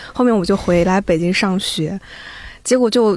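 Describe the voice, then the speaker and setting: A woman speaks in a normal speaking voice at medium pitch. Her pace is fairly quick, with ordinary pitch variation. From eastern China (Zibo, Shandong). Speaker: audio editor. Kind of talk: casual chat.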